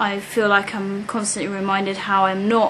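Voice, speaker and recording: Over noticeable background noise and audible room echo, a woman with a British accent talks at a moderate pace and medium pitch. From UK. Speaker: British expat in New York. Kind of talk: interview. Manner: hesitant, many fillers.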